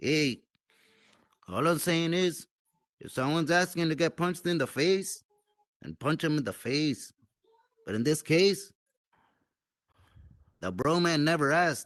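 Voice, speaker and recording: In a put-on character voice, a man drawls at a moderate pace with a fairly high pitch, ordinary pitch variation and long, frequent pauses. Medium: machinima. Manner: drawling street slang, calls everyone "Holmes".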